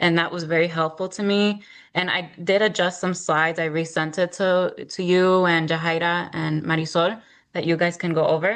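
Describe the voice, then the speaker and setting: A woman's fairly low voice, monotone and flat, at a moderate pace against a quiet background. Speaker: small business owner, program participant. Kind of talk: casual group video call.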